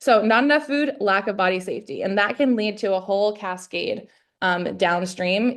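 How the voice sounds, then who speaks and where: A woman has an ordinary speaking voice, medium in pitch with ordinary pitch variation. She speaks at a moderate pace against a quiet background. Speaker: functional dietitian. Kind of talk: workshop presentation. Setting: video call. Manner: casual.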